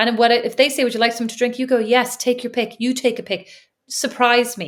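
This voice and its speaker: Speaking at a very fast pace with an Irish accent, the woman has a high pitch and monotone, flat intonation. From Ireland. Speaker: podcast co-host. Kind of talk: casual chat.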